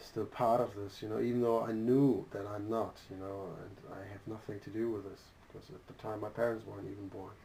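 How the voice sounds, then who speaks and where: A somewhat breathy man speaks fairly quickly at a fairly low pitch, in a monotone, flat way. His loudness swings widely, and the room echo is audible. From Germany. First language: German. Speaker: interviewee. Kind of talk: interview. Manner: halting, with frequent repetitions.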